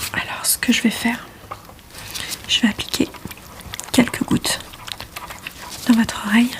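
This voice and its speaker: A woman whispering at a moderate pace, with long, frequent pauses and noticeable background noise. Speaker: ASMR creator playing an ENT doctor. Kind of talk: ASMR medical roleplay. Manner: soft-spoken.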